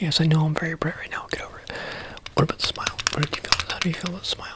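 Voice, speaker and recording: Soft-spoken and whispering, a man talks at a very fast pace. Loud background noise is present, and the sound is dry with no echo. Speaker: role-play exam host. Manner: soft, close ASMR near-whisper. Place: home room. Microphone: phone near.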